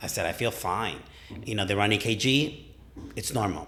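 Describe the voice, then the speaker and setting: Audible room echo surrounds a man whose fairly low voice shows ordinary pitch variation. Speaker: gym client and training partner. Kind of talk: casual chat. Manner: loud; animated.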